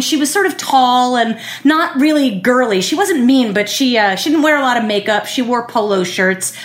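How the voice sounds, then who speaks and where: A woman's high-pitched voice over noticeable background noise. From Philadelphia. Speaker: storyteller. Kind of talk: personal storytelling.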